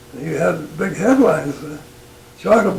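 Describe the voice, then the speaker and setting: Over noticeable background noise, a man with an American accent speaks at a moderate pace in a high voice. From northern Utah, USA. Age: 80s+. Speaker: retired military pilot. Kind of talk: interview answer. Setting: at home.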